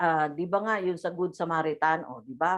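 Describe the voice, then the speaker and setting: A woman speaks loudly. Her pace is moderate. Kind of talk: religious talk. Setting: video call. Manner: halting.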